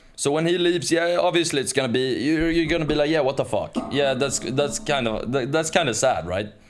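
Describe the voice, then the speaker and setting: A man with a slight Swedish accent talks at a fairly quick clip in a fairly high voice, his pitch varying in an ordinary way and hardly any pauses breaking it up. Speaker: podcast co-host. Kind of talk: casual chat.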